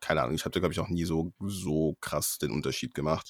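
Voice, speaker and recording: A man's very deep, low-pitched voice. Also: very clean recording, silent background. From Germany, Freiburg (Baden-Württemberg). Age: 20s. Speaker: law student. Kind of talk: casual interview.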